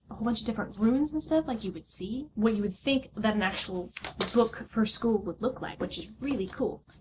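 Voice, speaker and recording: The woman's fairly high voice carries a slight breathiness and normal pitch movement. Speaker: unboxing vlogger. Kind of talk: casual unboxing video. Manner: fast.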